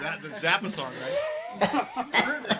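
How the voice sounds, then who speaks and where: A raised, projected voice carries over noticeable background noise. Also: man. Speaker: rock musician. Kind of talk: casual chat. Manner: mumbling.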